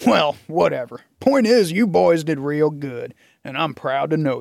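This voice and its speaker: Using a put-on character voice, a man talks at a moderate pace with a fairly high pitch and lively intonation, his loudness swinging widely. The recording is very clean, with a silent background. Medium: read story. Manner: blunt, folksy.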